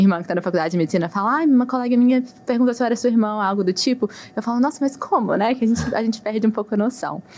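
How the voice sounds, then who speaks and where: A woman talks at a very fast pace. Her fairly high voice shows ordinary pitch variation. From Brazil, Minas Gerais (Belo Horizonte). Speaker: physician. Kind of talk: interview.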